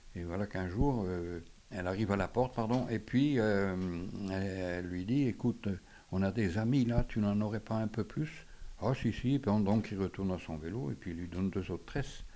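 Speaking at a moderate pace, a man has a dark, mellow tone, a fairly low pitch and ordinary pitch variation. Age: 80s+. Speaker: retired onion seller. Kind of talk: testimony.

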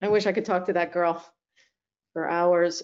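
A woman speaks at a moderate pace with a fairly low pitch and a slightly mellow tone. Vocal fry runs through her voice.

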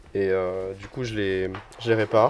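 A man's voice with noticeable background noise. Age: 20s. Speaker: association member and volunteer. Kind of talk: casual interview.

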